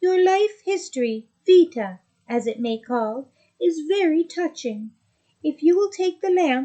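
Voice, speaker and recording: A woman uses a put-on character voice at an extremely high pitch and a fairly slow pace. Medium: read story. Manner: formal, courtly.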